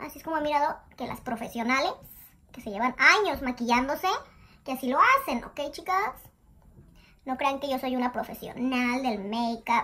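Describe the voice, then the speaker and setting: A woman projects her voice in a bright, sharp tone, her loudness swinging widely. She keeps a moderate pace with ordinary pitch variation and long, frequent pauses. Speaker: beauty vlogger. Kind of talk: casual makeup tutorial chat. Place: bathroom. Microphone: phone near.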